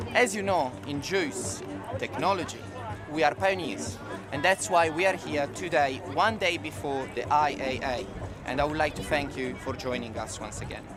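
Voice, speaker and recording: At a moderate pace, a man with a fairly high voice talks amid noticeable background noise and audible room echo. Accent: Italian. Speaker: corporate event presenter. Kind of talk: event presentation.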